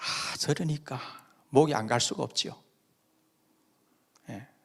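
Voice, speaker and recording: A man speaks at a very slow pace. He has a slight Busan accent. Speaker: pastor. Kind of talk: sermon. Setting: church.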